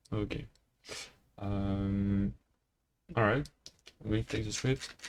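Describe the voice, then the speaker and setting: Speaking with a French accent, a man uses a fairly low pitch and lively intonation. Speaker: programming tutor. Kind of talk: tutorial. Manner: halting, many fillers.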